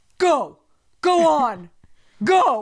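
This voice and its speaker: A put-on character voice, high in pitch, jumps through very wide pitch swings. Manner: urging, encouraging.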